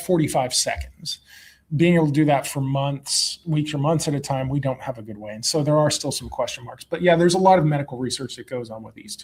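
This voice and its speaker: His pitch sits fairly high. The man's voice carries a somewhat breathy quality. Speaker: analog mission crew member giving a talk. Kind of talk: Q&A after a talk. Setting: club meeting with audience. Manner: frequent fillers (um).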